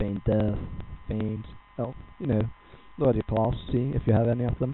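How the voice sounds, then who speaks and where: Noticeable background noise sits under a man speaking with a Danish accent. He talks at a moderate pace and a medium pitch. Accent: non-native English, Danish. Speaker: gaming guide creator. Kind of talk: tutorial. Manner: halting.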